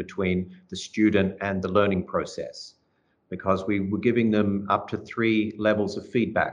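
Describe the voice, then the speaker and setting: A man speaks with an Australian accent at a moderate pace. His intonation is monotone and flat. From Melbourne, Australia. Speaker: language and literature teacher. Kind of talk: interview.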